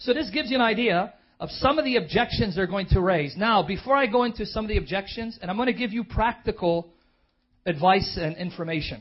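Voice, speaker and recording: Speaking very fast with an American accent, a man sounds animated and passionate in a high-pitched voice. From Chicago. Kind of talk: sermon-style lecture. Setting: church with audience. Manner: animated, passionate.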